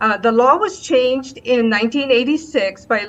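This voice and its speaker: Speaking at a moderate pace, a woman with a Hawaiian accent has a fairly high voice. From Hawaii, North Kohala. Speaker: public testifier. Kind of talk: legislative testimony. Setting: video call.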